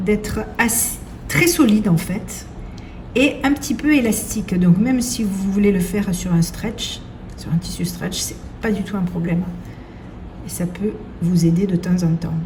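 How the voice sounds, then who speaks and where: A woman with a southern French accent at a medium pitch, with long, frequent pauses over noticeable background noise. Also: ordinary pitch variation, fairly slow pace. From southern France. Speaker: seamstress. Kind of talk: sewing tutorial.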